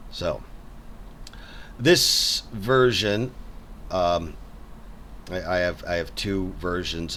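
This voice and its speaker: A man's very deep, low voice at a very slow pace, with audible room echo. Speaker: game developer and artist. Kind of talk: casual game walkthrough. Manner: halting, many repetitions.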